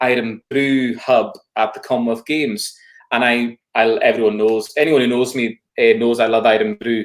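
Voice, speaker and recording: Speaking with a Hebridean accent, a man talks at a moderate pace. His medium pitch stays monotone, with flat intonation. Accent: Scottish Hebridean. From Isle of Lewis, Scotland. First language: Scottish Gaelic. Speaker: folk singer and Gaelic tutor. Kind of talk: casual interview chat.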